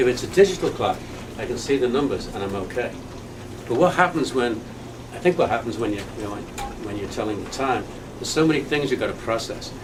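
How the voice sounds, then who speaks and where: A man with a medium pitch speaks at a fairly quick pace amid noticeable background noise and audible room echo. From England, Liverpool. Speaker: person living with Alzheimer's. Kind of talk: testimony. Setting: staff training session. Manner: halting.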